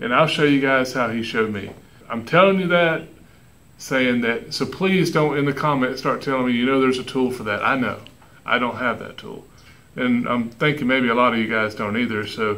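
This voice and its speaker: A man speaks at a moderate pace. His tone is bright and sharp. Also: ordinary pitch variation. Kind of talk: tutorial. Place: garage. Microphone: phone near.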